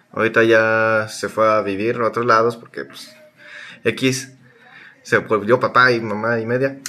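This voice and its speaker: This man speaks at a fairly slow pace with a Mexican accent. His pitch is medium, his intonation fairly even, and his loudness swings widely. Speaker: podcast co-host. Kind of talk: casual chat. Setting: recorded remotely.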